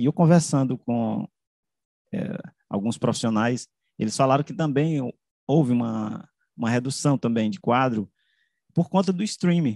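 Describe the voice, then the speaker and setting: A man speaks with lively intonation and a dark, mellow tone. The sound is dry with no echo, and the background is quiet. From Caxias, Maranhão, Brazil; Maranhão, Brazil. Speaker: journalist and media researcher; journalist. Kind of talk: academic presentation. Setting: video call. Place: home room. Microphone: video call.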